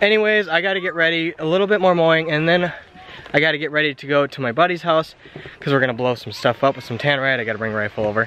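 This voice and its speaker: A man speaks at a very fast pace. Light background noise can be heard. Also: lively intonation, dry sound with no echo. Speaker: vlogger. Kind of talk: casual vlog chat. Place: open country. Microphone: phone near.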